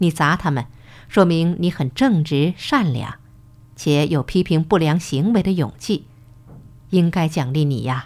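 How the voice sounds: Using a put-on character voice, a woman speaks low-pitched with lively intonation. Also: fairly slow pace, slightly mellow tone.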